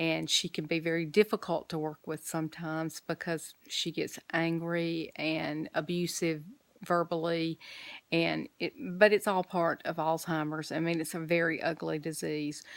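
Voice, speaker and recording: On a very clean recording with a silent background, a woman of fairly low pitch talks at a moderate pace. Her intonation is monotone and flat, and the sound is dry and close with no echo. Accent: Alabama. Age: 60s. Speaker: vlogger and caregiver. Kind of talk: casual vlog update.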